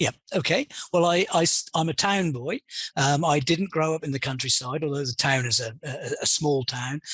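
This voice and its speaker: In a British accent, the speaker goes at a moderate pace with ordinary pitch variation, the sound dry and close with no echo. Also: man, fairly high pitch for a man. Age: 60s. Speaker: pig industry consultant. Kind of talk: interview. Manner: hesitant, with many fillers.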